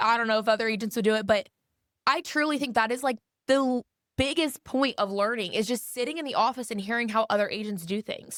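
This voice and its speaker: The speech runs at a very fast pace with an animated tone and ordinary pitch variation. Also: woman, fairly high pitch for a woman. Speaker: real estate agent. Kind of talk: casual interview chat. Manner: loud; animated, outspoken.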